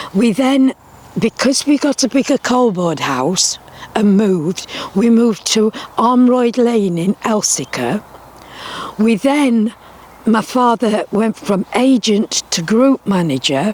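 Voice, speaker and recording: A woman speaks very slowly at a fairly high pitch, her intonation lively and her loudness very even. The sound is dry and close with no echo, though background noise is noticeable. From Derbyshire, England (early childhood in Barnsley, Yorkshire). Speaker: retired teacher, miner's daughter. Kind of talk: oral history interview. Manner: hesitant with fillers.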